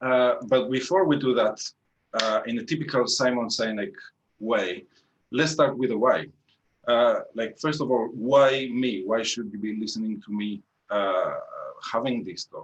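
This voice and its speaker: A man with a Greek accent speaks at a fairly slow pace in a medium pitch, with ordinary pitch variation and long, frequent pauses. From Greece, Athens. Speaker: engineering manager, tech talk speaker. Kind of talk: tech talk presentation. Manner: hesitant, many fillers.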